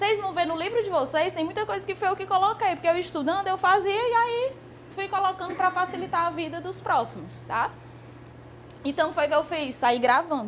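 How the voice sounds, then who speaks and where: Her pitch is extremely high for a woman. She speaks at a fairly quick pace with lively intonation. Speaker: law exam prep teacher. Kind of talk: lecture. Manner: fast.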